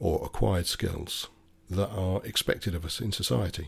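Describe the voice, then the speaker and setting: A man's very deep, low voice, somewhat breathy, with ordinary pitch variation, on a very clean recording with a silent background. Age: 60s. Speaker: podcaster, former motor mechanic. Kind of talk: solo opinion monologue.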